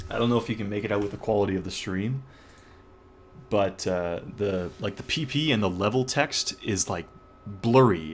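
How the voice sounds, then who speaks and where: A man speaks in a plain, everyday voice at a fairly low pitch. He keeps a moderate pace with ordinary pitch variation. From Canada. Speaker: gaming streamer. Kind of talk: live stream commentary. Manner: casual with many fillers.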